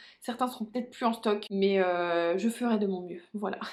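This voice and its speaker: Very clean recording of a woman's voice, silent background. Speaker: beauty youtuber. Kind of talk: makeup product review. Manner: fast; animated.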